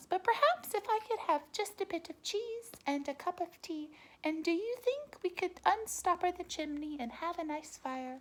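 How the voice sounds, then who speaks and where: Using a put-on character voice, a woman talks at a moderate pace in an extremely high pitch. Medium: read story. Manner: soft, polite, murmuring.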